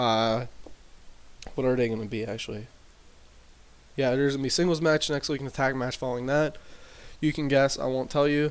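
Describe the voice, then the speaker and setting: The voice is quiet and moves at a fairly quick pace with ordinary pitch variation. Long pauses come often. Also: man. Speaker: gaming commentator. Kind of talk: casual gameplay commentary. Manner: hesitant, many fillers.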